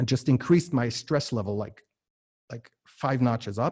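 A man's somewhat breathy voice sits at medium pitch with ordinary pitch variation on a very clean recording with a silent background. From US and Germany. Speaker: entrepreneur and podcast host. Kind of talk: interview. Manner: many filler words and repetitions.

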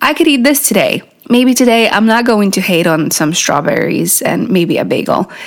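A woman speaks over noticeable background noise. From Poland. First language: Polish. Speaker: podcast host and accent coach. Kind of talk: solo podcast monologue, casual and encouraging. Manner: warm, upbeat, encouraging.

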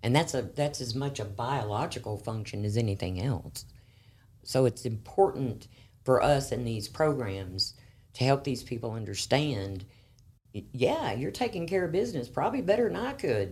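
Speaking with an American accent, a woman with a very deep, low, somewhat breathy voice talks at a moderate pace with lively intonation. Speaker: crisis services manager. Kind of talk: interview. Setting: studio.

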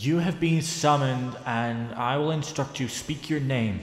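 A put-on character voice comes through at a moderate pace, with a clear echo and clear background noise. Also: man, fairly high pitch for a man. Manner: commanding, ominous.

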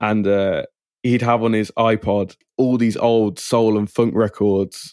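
In an English accent, a man speaks at a fairly low pitch in a dark, mellow tone with monotone, flat intonation. The sound is dry and close with no echo, on a very clean recording with a silent background. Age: 20s. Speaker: music producer. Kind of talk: interview.

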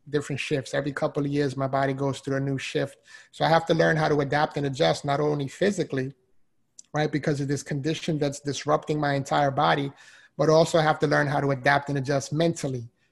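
A fairly high-pitched man with a New York accent, somewhat breathy, animated and energetic, at a very fast pace over a quiet background. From Bronx, New York. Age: 40s. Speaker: motivational speaker. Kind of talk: casual interview. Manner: animated, energetic.

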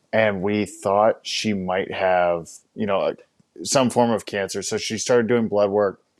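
An ordinary speaking voice with fairly even intonation at a fairly slow pace. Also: man, fairly low pitch for a man. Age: 30s. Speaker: fitness business co-founder. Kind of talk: casual chat.

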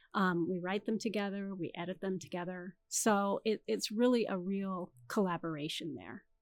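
With a Californian accent, a woman talks at a moderate pace, using ordinary pitch variation and hardly any pauses. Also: medium pitch for a woman, very clean recording, silent background. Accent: Californian American. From Canada, then US (Michigan, California). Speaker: romance novelist. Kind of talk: interview.

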